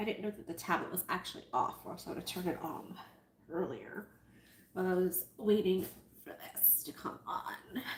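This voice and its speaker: Whispering at a moderate pace with big swings in loudness. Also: woman. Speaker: sewing livestreamer. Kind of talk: live sewing tutorial. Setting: livestream. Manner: animated.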